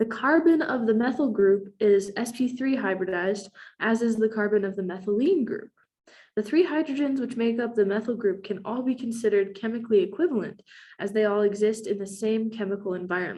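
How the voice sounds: At a fairly quick pace, a woman talks with a dark, mellow tone, medium pitch and ordinary pitch variation.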